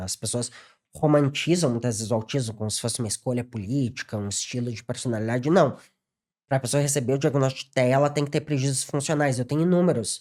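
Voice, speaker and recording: On a very clean recording with a silent background, a man talks at a very fast pace. His medium pitch, dark, mellow tone and ordinary pitch variation stand out. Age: 30s. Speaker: psychologist. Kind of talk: podcast interview. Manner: halting, repeats words.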